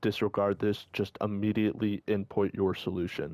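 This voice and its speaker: A man speaks at a fairly low pitch with fairly even intonation. The sound is dry and close with no echo, on a very clean recording with a silent background. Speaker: gaming walkthrough creator. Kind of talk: live gameplay commentary tutorial. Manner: fast.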